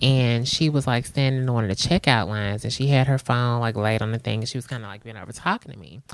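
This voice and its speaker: Very fast speech in a very clean recording against a silent background. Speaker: podcast co-host. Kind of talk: casual chat.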